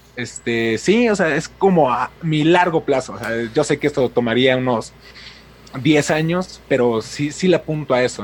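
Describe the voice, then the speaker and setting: A man with a fairly high pitch. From Mexico City. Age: 20s. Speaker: YouTube film critic. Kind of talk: casual interview.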